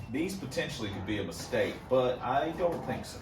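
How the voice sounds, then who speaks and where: Speech at a moderate pace comes through noticeable background noise and audible room echo. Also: man. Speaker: car hobbyist video host. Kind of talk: casual unboxing vlog. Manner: loud; casual, halting with fillers.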